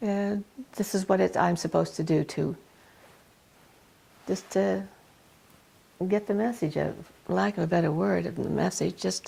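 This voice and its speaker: A woman with a Canadian accent speaks at a moderate pace, her very deep, low pitch making very wide swings. Vocal fry runs through her voice, and she leaves long, frequent pauses. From Ontario, Canada. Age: 70s. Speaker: magazine founder and publisher. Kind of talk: interview. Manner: hesitant, many fillers and restarts.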